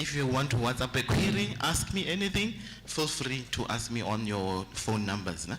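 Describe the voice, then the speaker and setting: With very wide pitch swings at a medium pitch, a man speaks at a moderate pace against noticeable background noise. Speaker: medical aid representative. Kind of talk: sales pitch.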